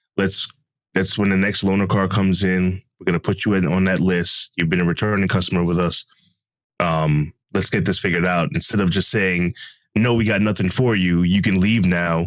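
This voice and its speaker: Moderate pace and very even loudness from a man with a very deep, low pitch and fairly even intonation. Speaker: podcast co-host. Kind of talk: casual chat.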